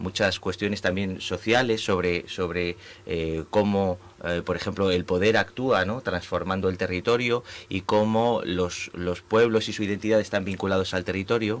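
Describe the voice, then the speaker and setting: Speaking at a moderate pace, a man uses a fairly low pitch with fairly even intonation. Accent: Spanish. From Spain. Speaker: architect and urbanism professor. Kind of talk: interview. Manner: halting, many fillers.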